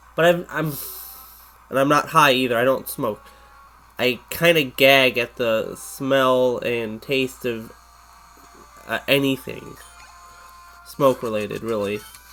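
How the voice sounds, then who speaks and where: The delivery is very slow, with long, frequent pauses. Music plays in the background. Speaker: gaming YouTuber. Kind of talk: let's play commentary. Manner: rambling, halting; sounds slurred, as if intoxicated.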